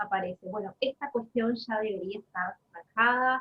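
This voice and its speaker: A woman speaks with a Uruguayan accent and ordinary pitch variation. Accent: Uruguayan Rioplatense Spanish. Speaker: Spanish and literature teacher. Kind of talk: casual conversation.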